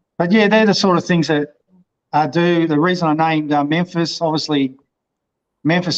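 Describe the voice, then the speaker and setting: In an Australian accent, a man speaks at a fairly quick pace with fairly even intonation. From Victoria, Australia. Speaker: motorcycle vlogger. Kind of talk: interview. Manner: halting.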